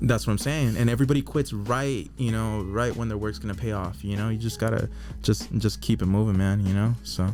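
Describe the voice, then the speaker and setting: A soft-spoken man with an American accent and a fairly low pitch talks at a fairly quick pace with ordinary pitch variation while music plays in the background. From Southern California; Orange County, California. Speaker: tattoo artist. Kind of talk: interview answer.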